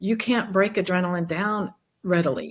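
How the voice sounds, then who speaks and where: A woman with an unremarkable speaking voice at a medium pitch, ordinary pitch variation and a moderate pace. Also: quiet background. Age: 60s. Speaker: chiropractor and genetics health practitioner. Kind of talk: interview.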